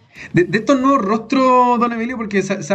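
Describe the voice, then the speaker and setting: There is noticeable background noise behind this man. He talks at a moderate pace with a Chilean accent. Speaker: podcast host. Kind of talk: casual chat. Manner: halting.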